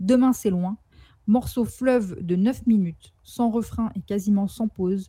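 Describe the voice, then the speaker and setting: At a very slow pace, a woman speaks at a medium pitch with a somewhat breathy voice and fairly even intonation. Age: 20s. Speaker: photographer and rap commentator. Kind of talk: scripted narration. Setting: remote connection.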